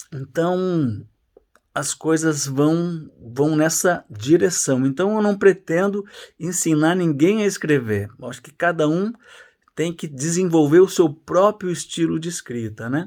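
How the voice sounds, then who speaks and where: With an unremarkable speaking voice, a man at a fairly high pitch talks fairly slowly, his intonation lively and his loudness swinging widely. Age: 60s. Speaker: journalist and writing teacher. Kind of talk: casual course introduction.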